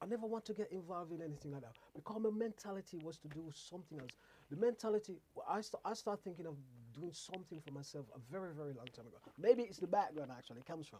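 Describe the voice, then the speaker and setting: A man speaks at a very fast pace in a high pitch with a dark, mellow tone. His loudness swings widely. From Jamaica. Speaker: radio host. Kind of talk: casual chat. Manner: halting, repetitive.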